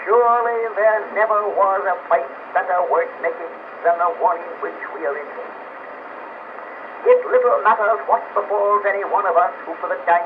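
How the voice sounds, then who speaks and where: With an American accent, a man talks at a moderate pace in a high pitch with ordinary pitch variation. His loudness swings widely over noticeable background noise. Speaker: politician, former U.S. president. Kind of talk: political speech. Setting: old historical recording.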